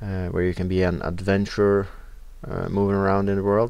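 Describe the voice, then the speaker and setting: The speaker is a man. He has a Norwegian accent. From Norway. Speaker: video game let's player. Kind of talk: gameplay commentary. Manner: casual, with frequent filler sounds.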